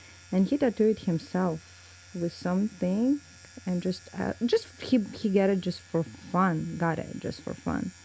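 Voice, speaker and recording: Through noticeable background noise, a woman with a Russian accent speaks at a fairly slow pace. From Russia, small town. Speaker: tattoo artist. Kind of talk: casual interview chat. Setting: tattoo shop, recorded while tattooing. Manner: halting.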